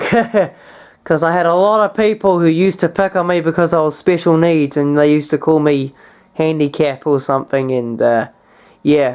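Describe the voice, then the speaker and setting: Against a quiet background, a woman speaks at a moderate pace. Her pitch is fairly low. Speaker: hobbyist vlogger. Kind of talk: casual show-and-tell vlog. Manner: halting, with many fillers.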